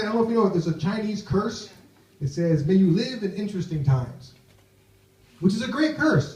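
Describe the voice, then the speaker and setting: Talking at a very fast pace, a man with an American accent and a high pitch is heard with audible room echo. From United States. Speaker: stand-up comedian. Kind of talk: stand-up. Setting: stage with audience.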